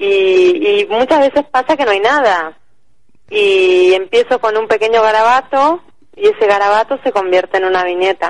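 A woman with an unremarkable speaking voice, fairly high in pitch, with lively intonation, very even loudness and a moderate pace, in a dry, close sound with no echo. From Argentina. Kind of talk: interview.

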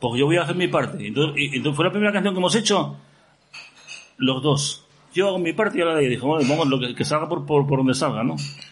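A man's fairly high voice at a very fast pace, with ordinary pitch variation, very even loudness, audible room echo and noticeable background noise. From Asturias, Gijón. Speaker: pop musician. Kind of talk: casual chat. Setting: stage with audience.

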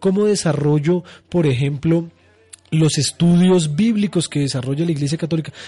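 A man's dark, mellow voice, pitched fairly high. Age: 30s. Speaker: radio host. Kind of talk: radio talk show on religion.

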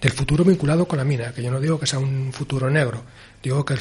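A man's somewhat breathy voice, fairly high in pitch, at a very fast pace with fairly even intonation. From Asturias. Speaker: film director. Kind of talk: interview.

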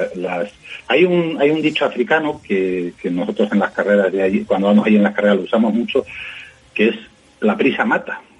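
Noticeable background noise is present. Over it, a man talks at a fairly quick tempo. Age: 50s. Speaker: journalist and rally co-driver. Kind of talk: interview. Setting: phone call.

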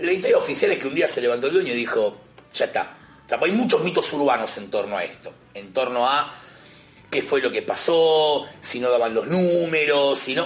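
A man with a Rioplatense accent at a fairly quick pace, over noticeable background noise. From Buenos Aires, Argentina. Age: 30s. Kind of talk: casual chat.

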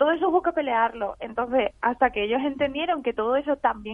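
In front of noticeable background noise, a woman with a high voice speaks very fast. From Spain. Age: 20s. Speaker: graphic novelist. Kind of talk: radio interview.

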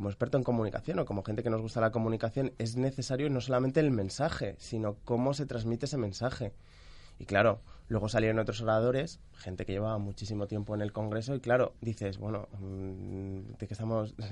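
A normal speaking voice from a man at medium pitch, with ordinary pitch variation and a fairly quick pace. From Mallorca, Spain. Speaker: economic journalist. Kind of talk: radio panel discussion.

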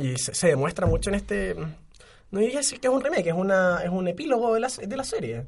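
His pitch is high, and it swings very widely. The man keeps a fairly quick pace. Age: 20s. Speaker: podcast co-host. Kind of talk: casual chat.

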